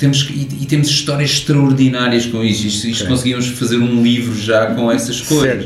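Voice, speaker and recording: A man speaks at a medium pitch and moderate pace in a monotone, flat intonation. Noticeable background noise and audible room echo surround him. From Portugal. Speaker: hi-fi company co-founder and engineer. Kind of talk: interview.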